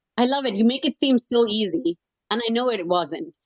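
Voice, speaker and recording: A woman with an Indian accent at a fairly quick pace. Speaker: podcast co-host, former engineer. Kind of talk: podcast interview.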